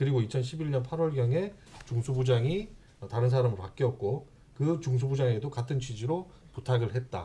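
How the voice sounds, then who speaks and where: This voice has a dark, mellow tone, a somewhat breathy quality, very even loudness, ordinary pitch variation, and a moderate pace. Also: man, medium pitch for a man. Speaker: broadcast union leader. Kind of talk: casual talk show discussion. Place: studio. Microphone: studio mic.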